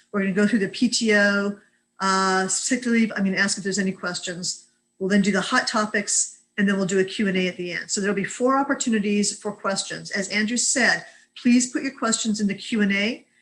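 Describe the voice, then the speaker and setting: This woman talks at a fairly quick pace, her medium-pitched voice keeping a fairly even intonation. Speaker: employment lawyer. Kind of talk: webinar lecture. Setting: video call. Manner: fast.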